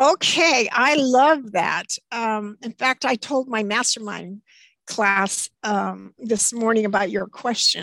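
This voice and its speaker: In a bright, sharp tone, a woman with a fairly high pitch speaks at a very slow pace with ordinary pitch variation, the sound dry and close with no echo. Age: 70s. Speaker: retirement coach. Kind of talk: casual interview.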